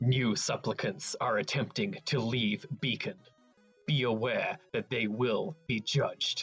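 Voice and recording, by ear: A man speaks in a robotic, put-on character voice at medium pitch and a fairly slow pace, with faint music in the background.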